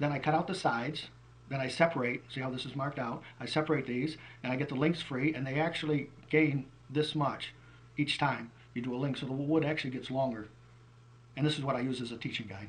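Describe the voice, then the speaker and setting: Talking very fast, a man with an American accent uses a fairly high pitch and fairly even intonation. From New York state. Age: 60s. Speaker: wood carver. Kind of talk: casual explanation of own work. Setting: craft show.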